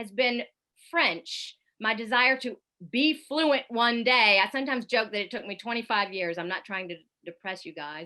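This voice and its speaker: In a Southern US accent, a woman talks at a moderate pace. Her fairly high voice has lively intonation. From US South, Columbia, South Carolina. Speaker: foreign correspondent, radio journalist. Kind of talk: public talk with slideshow. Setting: online event.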